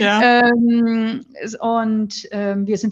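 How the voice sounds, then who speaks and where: The woman's voice is somewhat breathy. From northern Germany, near Flensburg. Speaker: nun, author and philosopher. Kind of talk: interview, reflective conversation.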